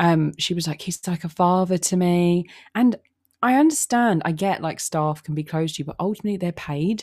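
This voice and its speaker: Over a silent background on a very clean recording, a woman speaks in a fairly low pitch at a moderate pace with ordinary pitch variation. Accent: London. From London, England. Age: 20s. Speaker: podcaster. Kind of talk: casual chat. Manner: halting, many fillers and repeats.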